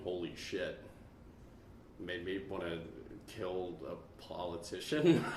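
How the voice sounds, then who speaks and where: A man speaks in a very deep, low voice. Audible room echo surrounds him. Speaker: podcast host. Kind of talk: casual chat. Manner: animated.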